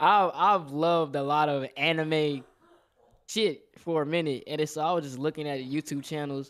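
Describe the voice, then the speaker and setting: A man with a plain, everyday voice talks at a moderate pace with fairly even intonation and fairly high pitch. The recording is very clean, with a silent background. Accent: American. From Texas, Houston (born New Orleans). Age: 20s. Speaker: caller. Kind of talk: casual chat.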